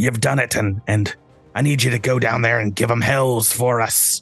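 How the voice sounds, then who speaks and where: Over faint background music, a put-on character voice speaks at a moderate pace with very even loudness. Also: man, medium pitch for a man. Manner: gruff, triumphant.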